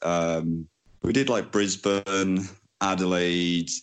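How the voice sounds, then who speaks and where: A man speaks with a Welsh accent. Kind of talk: interview. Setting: Skype call. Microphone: choppy line.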